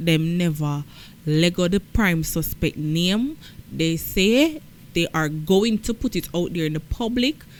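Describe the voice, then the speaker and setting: In a Jamaican accent, a woman talks at a fairly slow pace with lively intonation. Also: fairly low pitch for a woman. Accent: Jamaican, patois-inflected. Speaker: news commentator. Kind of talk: news commentary.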